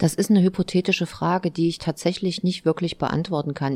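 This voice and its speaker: A woman speaks in an ordinary speaking voice at a fairly low pitch with fairly even intonation, on a very clean recording with a silent background. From Thuringia, eastern Germany. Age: 40s. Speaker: mayor and politician. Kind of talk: interview.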